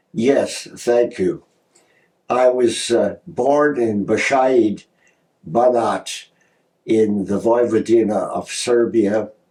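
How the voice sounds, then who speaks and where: A man with a Canadian accent speaks at a very slow pace in a medium pitch, his dark, mellow tone carrying ordinary pitch variation and broken by long, frequent pauses. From Canada, Ontario (Toronto and Hamilton). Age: 80s+. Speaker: professor. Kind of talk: interview.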